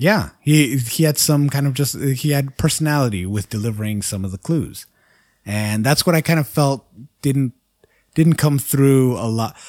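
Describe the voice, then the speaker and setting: In a very clean recording with a silent background, a man with a plain, everyday voice speaks at a moderate pace, his pitch medium and its variation ordinary. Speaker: podcast host and editor. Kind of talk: casual chat.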